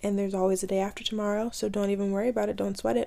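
Speaking very fast in a flat monotone, a woman has a medium pitch and a dark, mellow tone. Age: 20s. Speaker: podcast host. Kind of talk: casual solo monologue. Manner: casual, filler-heavy.

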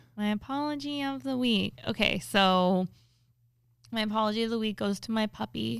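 A woman with an unremarkable speaking voice, fairly high in pitch with ordinary pitch variation, talks at a moderate pace in a very clean recording with a silent background. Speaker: podcast co-host who works with influencers. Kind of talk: casual chat. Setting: studio with headphones. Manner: filler-heavy, casual, says 'like' constantly.

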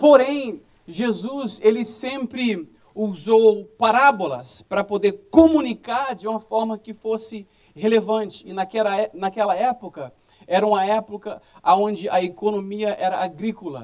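A man with a high pitch, ordinary pitch variation and a fairly slow pace. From Brazil. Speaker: pastor. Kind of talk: sermon.

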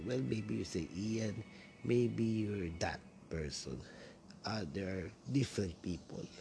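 With a Filipino accent, a man talks in a dark, mellow tone at a fairly low pitch, with vocal fry and very wide pitch swings. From Philippines, Quezon City (Manila). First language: Tagalog. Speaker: podcaster. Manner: halting, hesitant with many fillers.

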